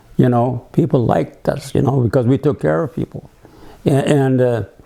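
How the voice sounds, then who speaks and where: A man talks at a medium pitch while noticeable background noise carries on. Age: 80s+. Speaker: navy submarine veteran, business owner. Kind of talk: personal life memoir, reminiscing to camera.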